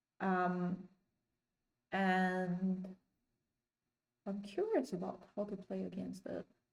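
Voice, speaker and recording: A woman with a non-native accent speaks at a very slow pace and a medium pitch. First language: not English. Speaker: chess learner streamer. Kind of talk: casual learning vlog. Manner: hesitant, many ums.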